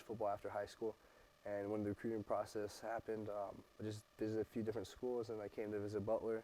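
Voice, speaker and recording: A man's dark, mellow voice at a medium pitch and a very fast pace. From military family, moved worldwide. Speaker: college football player. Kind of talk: interview.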